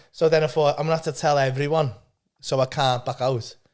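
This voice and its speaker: Very fast, animated male speech with a Liverpool accent and a fairly high pitch. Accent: Scouse (Liverpool). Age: 50s. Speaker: stand-up comedian. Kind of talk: casual chat.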